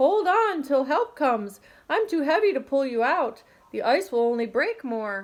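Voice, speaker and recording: Put on as a character voice, a woman's high-pitched speech moves at a moderate pace with very wide pitch swings on a very clean recording with a silent background. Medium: read story.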